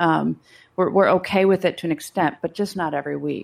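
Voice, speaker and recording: A woman with a Midwestern accent speaks in a fairly low pitch on a very clean recording with a silent background. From US Midwest, Chicago area. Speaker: pastor. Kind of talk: casual chat.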